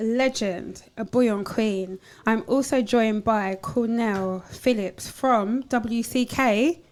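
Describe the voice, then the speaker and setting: A woman speaks at a fairly high pitch. Her pace is very slow. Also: ordinary pitch variation. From East London, England. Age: 40s. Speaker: talk show host. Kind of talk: casual chat. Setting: studio. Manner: animated.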